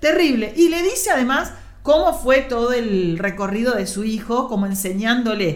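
In a Rioplatense accent, a woman with a fairly high pitch speaks at a moderate pace with very wide pitch swings, over noticeable background noise and audible room echo. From Argentina, western Buenos Aires area. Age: 50s. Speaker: teacher and film columnist. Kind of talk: casual chat.

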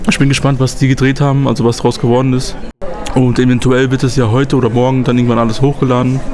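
Over noticeable background noise and audible room echo, a man talks at a very fast pace in a medium pitch, with monotone, flat intonation and very even loudness. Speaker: youth activist podcast host. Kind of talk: casual chat. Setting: on location on a trip in Poland.

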